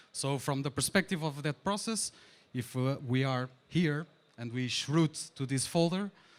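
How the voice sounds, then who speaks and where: A man's fairly high voice at a fairly slow pace, with ordinary pitch variation, on a very clean recording with a silent background. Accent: Portuguese. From Portugal. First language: Portuguese. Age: 30s. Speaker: conference speaker, DevOps engineer. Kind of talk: tech conference talk. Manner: hesitant, many fillers.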